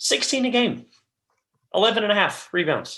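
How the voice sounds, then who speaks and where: A man uses a raised, projected voice with a high pitch. His tone is bright and sharp, and his pace moderate. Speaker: sports podcast co-host. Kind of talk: casual sports discussion. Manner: halting, stuttering.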